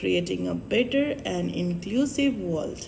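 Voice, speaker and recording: A woman with a Nepali accent at a fairly slow pace, over noticeable background noise. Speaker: vlogger. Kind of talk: vlog monologue.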